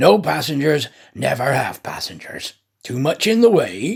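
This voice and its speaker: Growling through a gruff, raspy put-on character voice, the speaker swings the pitch very widely. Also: man, fairly high pitch for a man, moderate pace. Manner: curt, gruff.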